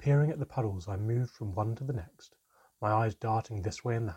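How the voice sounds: Against a quiet background, the clip has a natural reading voice with ordinary pitch variation.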